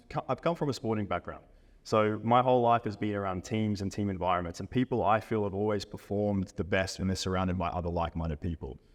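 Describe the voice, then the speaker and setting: Speaking very fast with an Australian accent, a man is heard against a quiet background. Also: fairly low pitch for a man, ordinary pitch variation. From Australia, Brisbane. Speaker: fitness coach. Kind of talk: podcast interview.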